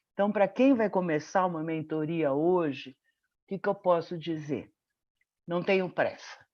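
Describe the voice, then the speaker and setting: A fairly low-pitched woman at a fairly slow pace, with long, frequent pauses and ordinary pitch variation, over a quiet background. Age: 60s. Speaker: medical professor and mentor. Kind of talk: webinar testimony.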